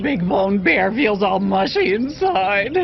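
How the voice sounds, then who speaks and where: A cartoonish character voice at a middle pitch speaks at a fairly slow pace. Background noise is clearly heard. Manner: speaks of self in third person.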